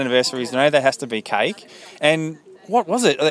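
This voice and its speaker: This man's voice is fairly high for a male. Behind it, background noise is clearly noticeable. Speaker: podcast reporter at a local event. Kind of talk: on-location report and interviews. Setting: outdoors at event.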